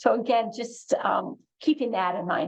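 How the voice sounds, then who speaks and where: Her fairly high pitch and ordinary pitch variation mark this woman's ordinary speaking voice. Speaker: oncology clinician. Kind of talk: educational presentation.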